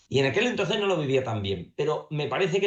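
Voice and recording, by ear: Somewhat breathy, a man's voice moves at a fairly quick pace.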